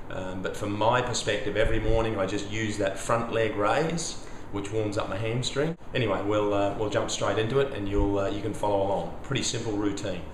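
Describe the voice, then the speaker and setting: Noticeable background noise and audible room echo surround a man with an Australian accent. He talks at a fairly low pitch and a fairly quick pace, with fairly even intonation and hardly any pauses. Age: 50s. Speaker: flexibility coach. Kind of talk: tutorial. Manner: casual.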